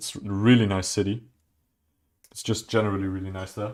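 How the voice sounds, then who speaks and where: On a very clean recording with a silent background, a man with a German accent speaks at a fairly low pitch in a monotone, flat intonation. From southwest Germany. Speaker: streamer building Lego. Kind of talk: casual chat. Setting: live stream. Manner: halting.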